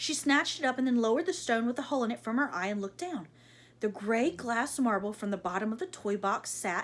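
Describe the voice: Ordinary pitch variation in a plain reading aloud.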